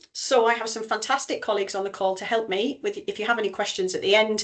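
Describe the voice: A woman speaks fast with a North East England accent and a fairly bright tone. Her pitch varies in an ordinary way.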